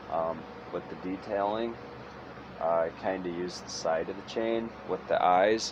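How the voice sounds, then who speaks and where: A man talks at a fairly slow pace with a very deep, low pitch. Noticeable background noise and audible room echo surround his voice. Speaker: chainsaw wood carver. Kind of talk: tutorial. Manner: halting, trips over words.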